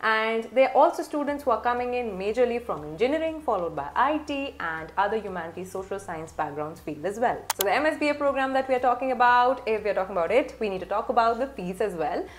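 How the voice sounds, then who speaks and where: Over light background noise, a woman rushes along at a very fast pace with hardly any pauses, her fairly high voice making very wide pitch swings. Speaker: admissions consultant. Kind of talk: tutorial. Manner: formal. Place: home room.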